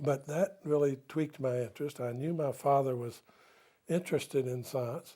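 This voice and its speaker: In a very clean recording with a silent background, a man with an American accent speaks at a moderate pace in a fairly high, dark, mellow voice with fairly even intonation. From US South. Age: 80s+. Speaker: retired nutrition scientist. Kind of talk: interview.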